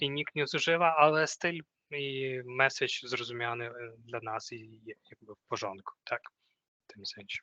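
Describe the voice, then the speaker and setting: A man with a non-native accent speaks at a moderate pace and medium pitch, with ordinary pitch variation and a bright, sharp tone. His loudness swings widely, recorded dry and close with no echo. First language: not Polish (speaking Polish). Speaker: corporate trainer. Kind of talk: training workshop. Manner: halting.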